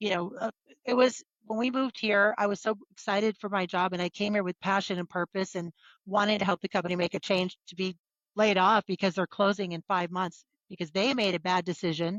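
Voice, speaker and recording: Using an ordinary speaking voice, a woman of medium pitch speaks at a fairly quick pace with fairly even intonation. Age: 60s. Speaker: entrepreneur. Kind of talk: interview.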